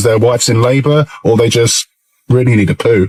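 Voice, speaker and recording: Fairly quick speech from a man in an English accent. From England. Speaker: British expat vlogger. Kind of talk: casual vlog monologue.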